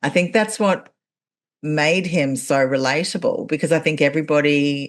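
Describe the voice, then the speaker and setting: A woman with an Australian accent talks at a moderate pace in a very deep, low pitch. Her loudness stays very even, and her pitch varies in an ordinary way. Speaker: podcast host and actor. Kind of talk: casual interview chat.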